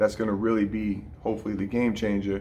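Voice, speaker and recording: A man speaks in a fairly low voice. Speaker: boxing coach. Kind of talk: tutorial. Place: gym. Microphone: phone near.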